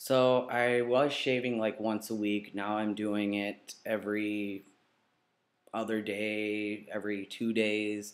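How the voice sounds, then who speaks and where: A man's fairly low-pitched voice, monotone and flat in intonation, at a very slow pace. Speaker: video blogger. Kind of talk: vlog update. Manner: halting, many fillers.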